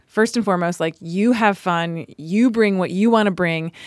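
A woman with a plain, everyday voice and an American accent speaks at a moderate pace with a medium pitch and lively intonation, in a very clean recording with a silent background. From US South, Charlotte, North Carolina. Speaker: restorative justice specialist and performer. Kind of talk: casual chat.

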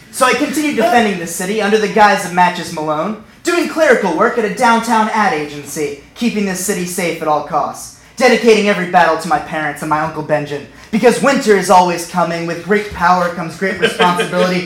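This man has an American accent and a high pitch, talking at a very fast pace with hardly any pauses and ordinary pitch variation, amid noticeable background noise and audible room echo. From US, Northern Virginia. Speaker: storyteller. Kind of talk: comedic storytelling. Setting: stage with audience.

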